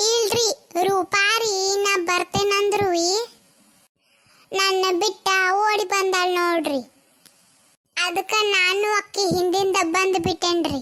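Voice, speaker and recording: A woman's cartoonish character voice, extremely high-pitched, very slow and very even in loudness, with fairly even intonation. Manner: mocking, loud, bossy.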